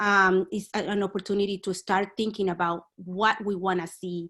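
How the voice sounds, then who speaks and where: Speaking at a moderate pace in a Spanish accent, a woman keeps a monotone, flat intonation. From Dominican Republic. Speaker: community activist. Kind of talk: panel discussion. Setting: video call. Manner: halting, many fillers.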